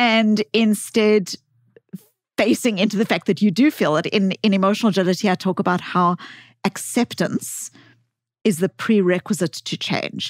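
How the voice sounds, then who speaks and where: A woman with a South African accent speaks at a medium pitch with ordinary variation, leaving long, frequent pauses. The sound is dry and close with no echo, in a very clean recording with a silent background. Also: moderate pace. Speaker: psychologist and author. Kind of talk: podcast interview. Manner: halting, many false starts.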